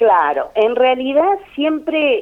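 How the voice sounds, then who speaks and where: A woman with an Argentine accent speaks at a very slow pace, her pitch swinging very widely. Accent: Rioplatense Argentine Spanish. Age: 50s. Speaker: daughter of honoree. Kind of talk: interview.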